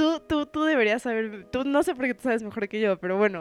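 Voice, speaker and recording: In a very clean recording with a silent background and a dry, close sound with no echo, a woman speaks in an animated tone with ordinary pitch variation. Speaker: podcast host. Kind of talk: casual chat.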